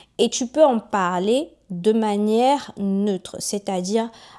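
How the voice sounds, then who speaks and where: In a Togolese accent, a woman speaks at a very slow pace on a very clean recording with a silent background. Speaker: YouTuber and author. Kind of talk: casual monologue to camera. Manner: animated.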